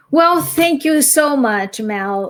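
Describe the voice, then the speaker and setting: In a Brazilian accent, a woman speaks at a very slow pace with very wide pitch swings. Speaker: academic and speaker. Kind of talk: interview. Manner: halting.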